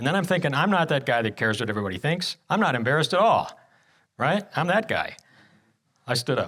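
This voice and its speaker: On a very clean recording with a silent background, a man talks very fast with a bright, sharp tone, vocal fry, very wide pitch swings, and long, frequent pauses. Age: 60s. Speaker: guest speaker. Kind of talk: sermon testimony. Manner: halting.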